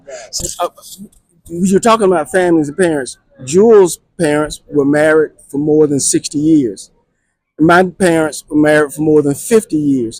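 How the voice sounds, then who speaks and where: A man talks at a moderate pace in a plain, everyday voice, fairly high in pitch with ordinary variation. The sound is dry and close with no echo. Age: 60s. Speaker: farmer. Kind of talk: interview. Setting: farmers association gathering.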